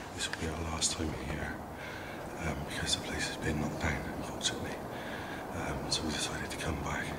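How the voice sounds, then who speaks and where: A man at a moderate pace, amid loud background noise. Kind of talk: casual vlog chat. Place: open country. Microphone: phone near.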